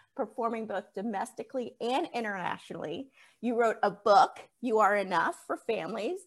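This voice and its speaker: This woman has a fairly high pitch and lively intonation. It is an unremarkable speaking voice. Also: moderate pace. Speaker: podcast host. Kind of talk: casual interview.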